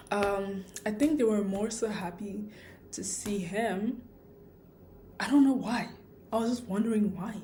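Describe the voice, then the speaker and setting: A woman with a fairly high pitch speaks at a fairly slow pace, pausing long and often, with audible room echo and music in the background. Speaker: vlogger. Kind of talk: casual vlog monologue. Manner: rambling, hesitant with fillers.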